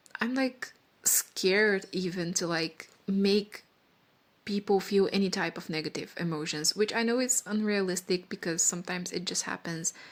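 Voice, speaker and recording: Moderate pace and ordinary pitch variation, with a non-native accent. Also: woman, medium pitch for a woman. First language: not English. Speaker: vlogger. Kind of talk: casual monologue. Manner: rambling, halting.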